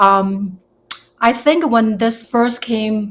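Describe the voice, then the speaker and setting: Her intonation fairly even, a woman talks at a very slow pace. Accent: Chinese. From China. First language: Chinese. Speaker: panel guest. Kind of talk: panel discussion.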